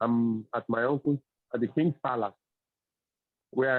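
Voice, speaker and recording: A man with a Yoruba accent talks at a medium pitch. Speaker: Ifa religious teacher. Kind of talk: religious teaching. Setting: video call on phone, outdoors. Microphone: phone with weak reception.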